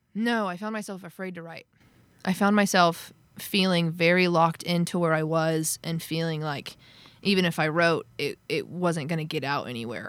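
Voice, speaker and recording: Recorded very cleanly with a silent background, a woman talks at a moderate pace in a fairly low pitch with ordinary pitch variation. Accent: American. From Oklahoma, near Tulsa. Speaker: country singer-songwriter. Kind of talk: casual interview chat.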